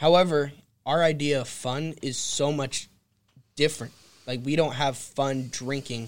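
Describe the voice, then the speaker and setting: A man with an American accent speaks at a fairly slow pace, his pitch fairly high and his intonation fairly even. He leaves long, frequent pauses, and the recording is very clean with a silent background. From California. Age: 20s. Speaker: realtor. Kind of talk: casual chat. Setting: studio.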